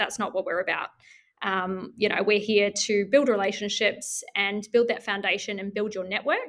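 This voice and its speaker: In a New Zealand accent, a woman with a fairly high pitch speaks at a moderate pace. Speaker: business community manager. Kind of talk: interview.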